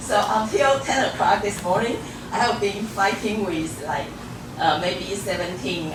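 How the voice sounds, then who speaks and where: A woman's fairly low voice with lively intonation at a fairly slow pace, with noticeable background noise and audible room echo. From Taiwan. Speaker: professor. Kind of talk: lecture. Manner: halting, many fillers.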